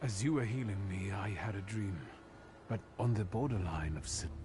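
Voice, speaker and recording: A man's cartoonish character voice, fairly low in pitch, at a moderate pace over clear background noise. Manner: inquisitive.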